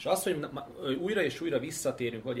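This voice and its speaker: Against noticeable background noise, the words of a man tumble out at a very fast pace. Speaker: political analyst. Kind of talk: casual chat.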